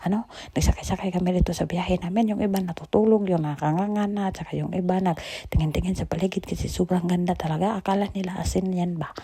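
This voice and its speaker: A soft-spoken woman at medium pitch, talking very fast with hardly any pauses. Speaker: vlogger. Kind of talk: casual travel vlog narration. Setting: indoors at home, recording voiceover. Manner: animated.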